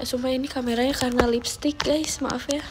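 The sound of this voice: Music sounds behind a woman who talks at a moderate pace.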